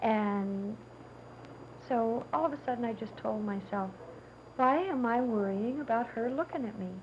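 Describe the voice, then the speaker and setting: Over noticeable background noise, a woman speaks in a high pitch with ordinary pitch variation at a moderate pace. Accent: American. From Kentucky. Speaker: documentary subject, woman born without arms. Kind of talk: interview testimony. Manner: halting.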